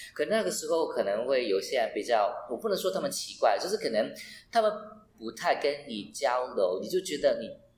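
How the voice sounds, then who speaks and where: Audible room echo is clear in this recording. A man speaks in it at a fairly quick pace. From Hong Kong. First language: Cantonese (speaking Chinese). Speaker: travel blogger. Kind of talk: casual chat. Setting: residential hallway in Hong Kong. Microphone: roomy, echoey recording.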